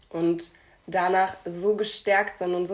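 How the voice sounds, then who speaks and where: A woman with a medium pitch speaks very slowly, keeping her intonation fairly even. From Hamburg, Germany. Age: 20s. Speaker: podcast co-host. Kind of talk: casual chat.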